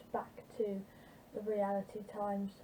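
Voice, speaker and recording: The voice is quiet. Its intonation is flat and monotone. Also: woman. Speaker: football fan vlogger. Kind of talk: casual football preview vlog. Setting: home at night. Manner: quiet, subdued volume; hesitant, many fillers.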